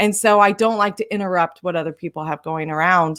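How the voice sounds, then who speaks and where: On a very clean recording with a silent background, a woman with an unremarkable speaking voice talks at a moderate pace. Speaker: RV lifestyle YouTuber. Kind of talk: live stream chat.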